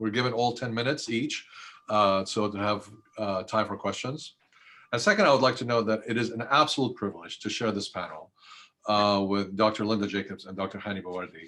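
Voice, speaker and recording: A man with a fairly low pitch speaks very fast in a bright, sharp tone. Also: ordinary pitch variation. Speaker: historian, panelist. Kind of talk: panel talk.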